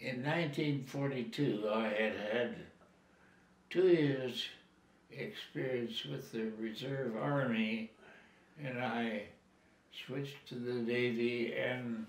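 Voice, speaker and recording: With a Canadian accent, a man speaks very slowly at a medium pitch with ordinary pitch variation and long, frequent pauses, over noticeable background noise. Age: 80s+. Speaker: war veteran. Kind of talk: interview answer.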